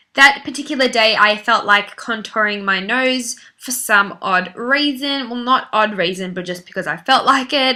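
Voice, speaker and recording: A woman's fairly high voice with an Australian accent, ordinary pitch variation, a moderate pace, and noticeable background noise. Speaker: beauty vlogger. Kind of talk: makeup tutorial voice-over. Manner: casual, chatty.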